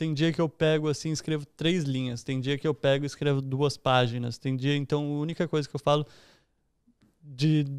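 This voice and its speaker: Over a quiet background, a man with a São Paulo accent talks at a fairly quick pace in a fairly high pitch, his intonation fairly even and the sound dry with no echo. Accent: São Paulo Brazilian Portuguese. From São Paulo, Brazil (East Zone); São Paulo, Brazil. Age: 20s. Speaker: entrepreneur and investor; podcast guest. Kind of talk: casual interview chat. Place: home room. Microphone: studio mic.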